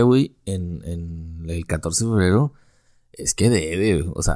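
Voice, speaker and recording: In a very clean recording with a silent background, a man with a Mexican accent speaks at a very deep, low pitch. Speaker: podcast host. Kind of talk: casual chat.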